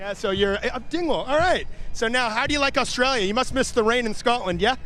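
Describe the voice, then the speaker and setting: Over noticeable background noise, a man with a Canadian accent talks very fast in an extremely high, raised, projected voice. His tone is animated, with ordinary pitch variation. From Canada (Ontario). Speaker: event commentator and interviewer. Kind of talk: live commentary with on-the-spot interviews. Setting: outdoors at a pipe band competition. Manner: casual, animated.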